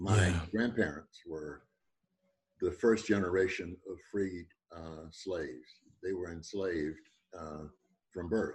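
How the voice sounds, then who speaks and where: Somewhat breathy and very deep, a man's voice moves at a fairly slow pace with long, frequent pauses, big swings in loudness and ordinary pitch variation. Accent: American. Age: 80s+. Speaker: retired professor. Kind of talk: radio interview.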